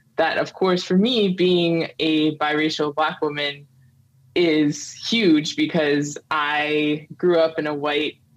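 A woman's very deep, low voice at a very slow pace, with fairly even intonation. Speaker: podcast guest. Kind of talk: interview answer. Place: home room.

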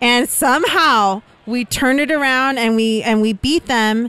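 With lively intonation and an enthusiastic tone, a woman speaks in a high pitch, the sound dry with no echo. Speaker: pickleball pro. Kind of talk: casual chat. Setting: outdoors. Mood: enthusiastic recounting of tournament win. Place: bar. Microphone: studio mic.

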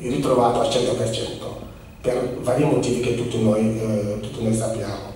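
A man's voice rings with strong room echo over light background noise. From Senegal. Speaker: immigration office representative speaking about Senegal. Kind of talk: public talk to an audience. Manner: halting, with many fillers. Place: hall.

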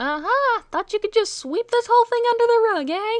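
This is a cartoonish character voice, squeaky and extremely high in pitch. It moves at a fairly quick pace. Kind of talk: cartoon voice acting. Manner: chipper, wisecracking.

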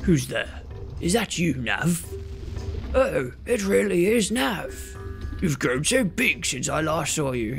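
A man's put-on character voice, fairly high in pitch and fairly slow, with clear music in the background. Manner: wise, solemn, grandfatherly.

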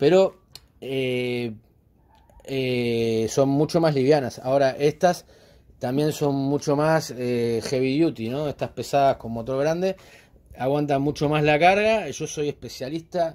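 A man's fairly high voice, fairly slow in pace, with ordinary pitch variation. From Uruguay. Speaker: DIY woodworking channel host. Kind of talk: DIY tutorial and vlog. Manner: hesitant with fillers. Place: garden. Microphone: phone near.

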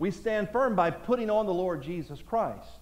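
A man at a moderate pace, with lively intonation. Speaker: senior pastor. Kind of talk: sermon, preaching to a live congregation. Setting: church. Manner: earnest, rising pulpit delivery, call-and-response cadence; formal, exhortative, scripture-quoting. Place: church. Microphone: headset.

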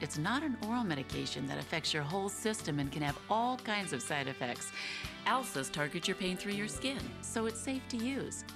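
A woman talks at a moderate pace with very wide pitch swings. Music plays behind her. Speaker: infomercial host. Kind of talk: infomercial host talk to camera.

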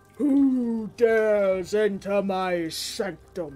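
A put-on character voice speaks at a fairly high pitch and a very slow pace. Faint music plays in the background. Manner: commanding, menacing.

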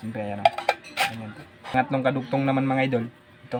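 Over noticeable background noise, a man with a medium pitch rattles along at a very fast pace in a flat monotone. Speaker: vlogger. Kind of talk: DIY tutorial.

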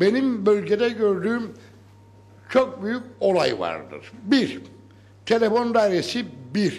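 A man's high-pitched voice at a very slow pace, with ordinary pitch variation. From Northern Cyprus, Lefke region; Northern Cyprus. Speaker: villager speaking from audience. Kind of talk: town hall speech. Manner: animated. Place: hall. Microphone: handheld.

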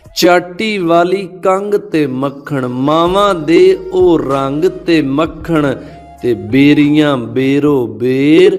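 A man talks at a fairly high pitch for a man, with music playing in the background. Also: ordinary pitch variation. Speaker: poetry reciter. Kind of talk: poetry reading.

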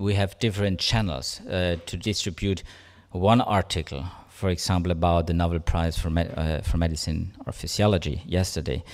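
A man with a German accent speaks in a very deep, low voice. His pace is moderate and his intonation fairly even. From Germany. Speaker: science journalist. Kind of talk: conference talk. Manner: halting. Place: hall. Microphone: podium.

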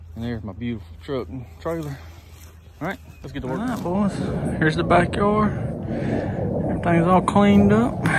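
Over loud background noise, a man with an American accent speaks with very wide pitch swings and big swings in loudness. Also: moderate pace. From US South, Mississippi. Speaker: lawn care business owner, vlogger. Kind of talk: walkthrough vlog narration. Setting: outdoors, customer's yard. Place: garden. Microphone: phone near.

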